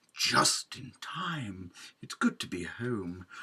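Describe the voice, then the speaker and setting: In a put-on character voice of medium pitch, a man speaks at a very slow pace. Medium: read story. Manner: jolly, proper.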